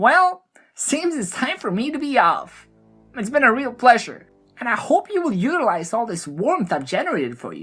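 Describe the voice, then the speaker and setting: A female-sounding, put-on character voice plays at a fairly high pitch with a playful tone and very wide pitch swings while faint music sits in the background. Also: moderate pace. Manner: playful, gleeful.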